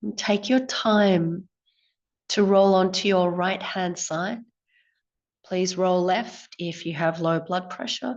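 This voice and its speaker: In a quiet background, a woman speaks very slowly in a calm tone at a medium pitch, with fairly even intonation and long, frequent pauses. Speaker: yoga teacher. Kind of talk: guided breathwork class. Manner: slow, calm.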